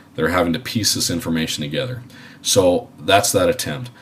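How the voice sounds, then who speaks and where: Noticeable background noise behind a man with a very deep, low voice, moving at a fairly quick pace. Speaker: aviation instructor. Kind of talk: lecture. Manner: halting.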